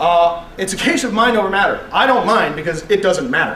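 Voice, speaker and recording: In an animated tone, a man talks at a fairly quick pace. Noticeable background noise and audible room echo come through. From Canada, Vancouver BC. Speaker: internet radio host. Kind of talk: public talk to students.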